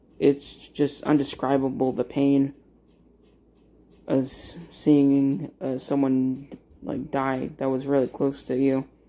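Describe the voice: A man's voice comes slow and medium-pitched, dark and mellow in tone, with monotone, flat intonation.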